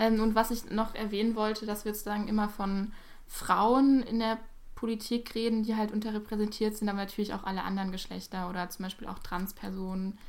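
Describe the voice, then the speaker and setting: Fairly quick and fairly high-pitched, a woman speaks in a monotone, flat way. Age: 18. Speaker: podcast guest. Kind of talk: casual chat.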